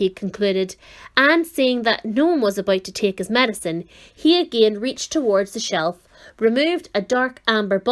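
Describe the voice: The speaker reads aloud plainly, and the intonation is lively.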